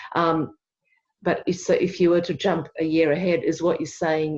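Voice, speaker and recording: A woman talks with fairly low pitch. Her intonation is monotone and flat. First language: not English. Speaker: workshop participant. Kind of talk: group discussion.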